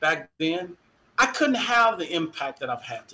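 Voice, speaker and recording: A man's raised, projected voice, high in pitch, with lively intonation and an American accent. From Dallas, Texas. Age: 50s. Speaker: university equity director and former football official. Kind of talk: interview. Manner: animated.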